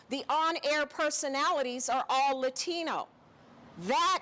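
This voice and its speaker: With noticeable background noise behind her, a woman with an American accent speaks in a raised, projected voice at a fairly slow pace with lively intonation. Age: 60s. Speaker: activist, nonprofit executive director. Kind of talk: heated debate.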